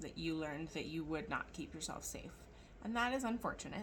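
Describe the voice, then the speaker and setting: Over noticeable background noise, a woman speaks with lively intonation at a fairly low pitch. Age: 40s. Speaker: tarot reader. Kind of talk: casual tarot reading monologue. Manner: mouth not fully opening, slightly altered speech.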